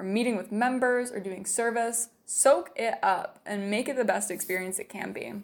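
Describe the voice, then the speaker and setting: This woman has a normal speaking voice, fairly high in pitch with ordinary pitch variation. She talks at a fairly quick pace in a very clean recording with a silent background. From Utah. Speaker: missionary. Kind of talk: testimony.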